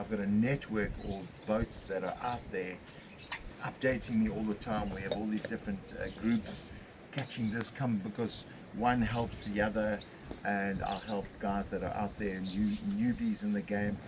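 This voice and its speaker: With a fairly low pitch, a man talks at a moderate pace in a monotone, flat intonation. Noticeable background noise can be heard. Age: 60s. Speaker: fishing charter boat captain. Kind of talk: casual interview. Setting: on location in St Francis Bay.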